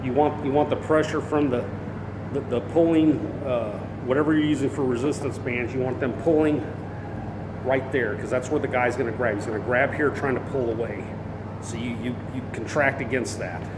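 Noticeable background noise sits behind speech at a moderate pace broken by long, frequent pauses. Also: man. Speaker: self-defense trainer. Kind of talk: tutorial. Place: bar. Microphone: phone near.

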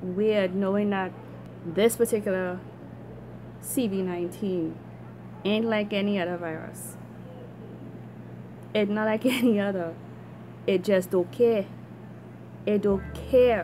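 Over light background noise, a woman talks at a very slow pace with fairly even intonation. She leaves long, frequent pauses. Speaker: vlogger. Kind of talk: casual vlog rant. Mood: concerned, earnest. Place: home room. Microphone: phone near.

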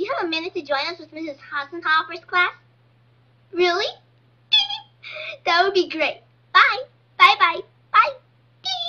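A female-sounding cartoonish character voice speaks at a moderate pace in an extremely high pitch. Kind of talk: school cartoon comedy. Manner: sarcastic, sassy.

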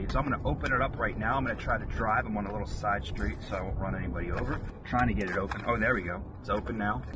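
Over loud background noise, a man talks at a very fast pace, and the sound is dry with no echo. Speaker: vlogger reviewing a snack. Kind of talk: casual vlog chat. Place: car. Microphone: camera far.

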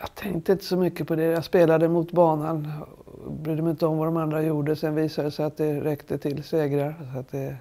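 The tone is dark and mellow, with monotone, flat intonation. Delivery moves at a fairly quick pace. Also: woman, very deep, low pitch for a woman. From Sweden. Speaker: retired champion golfer. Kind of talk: interview. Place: home room.

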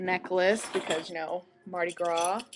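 Noticeable background noise fills the recording. Through it, a woman talks with an American accent. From United States. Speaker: family video blogger. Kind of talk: personal video update to family and friends. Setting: home video recording. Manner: halting, with many fillers. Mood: cheerful, relaxed. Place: home room. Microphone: webcam.

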